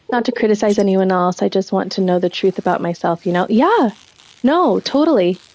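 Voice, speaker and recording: A soft-spoken woman talks at a fairly quick pace with very even loudness, a medium pitch and ordinary pitch variation. The sound is dry and close with no echo, though noticeable background noise is present. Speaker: streamer. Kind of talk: casual chat. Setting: live stream.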